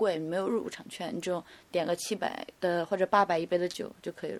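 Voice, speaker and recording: Moderately paced speech from a woman on a very clean recording with a silent background. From Wenzhou, China. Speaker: model and bar worker. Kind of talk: casual chat. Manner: cool, detached.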